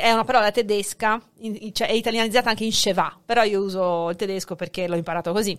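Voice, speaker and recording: Over a silent background on a very clean recording, a woman talks with hardly any pauses. She has a plain, everyday voice, fairly high in pitch, with ordinary pitch variation. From born in Hungary, dual nationality, lives in Italy. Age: 40s. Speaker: sociolinguist and teacher. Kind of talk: casual chat.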